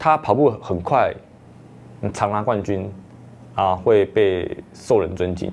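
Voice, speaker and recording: With lively intonation, a man talks at a very slow pace. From Taiwan. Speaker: marathon runner; interviewee. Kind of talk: interview monologue. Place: studio. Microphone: lapel.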